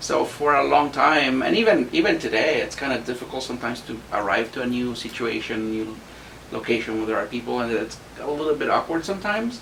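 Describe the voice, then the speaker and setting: Over noticeable background noise, a man with a Spanish accent talks very fast at a medium pitch with ordinary pitch variation. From Mexico. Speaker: university staff member. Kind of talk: podcast interview.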